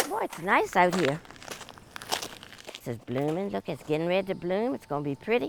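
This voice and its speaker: With an American accent, the speaker talks at a fairly quick pace, taking long, frequent pauses, and the pitch swings very widely. There is noticeable background noise. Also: woman, fairly low pitch for a woman. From Hanover County, Virginia. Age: 80s+. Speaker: retired nurse. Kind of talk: interview answer.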